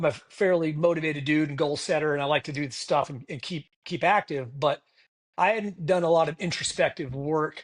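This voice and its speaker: Against a quiet background, a man with an unremarkable speaking voice talks at a fairly quick pace, his pitch fairly high and its variation ordinary. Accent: American. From Massachusetts. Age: 60s. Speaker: retired air force officer. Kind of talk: podcast interview.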